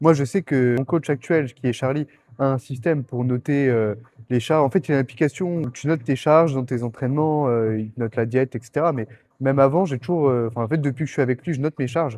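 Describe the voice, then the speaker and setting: A man with a dark, mellow tone speaks very fast at a medium pitch with ordinary pitch variation. The sound is dry and close with no echo, and the background is quiet. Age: 20s. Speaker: bodybuilding competitor and vlogger. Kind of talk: casual gym vlog. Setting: gym. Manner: casual, hesitant with fillers.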